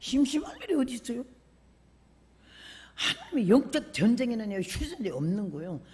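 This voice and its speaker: A woman's high-pitched voice. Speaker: preacher. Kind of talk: sermon. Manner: animated.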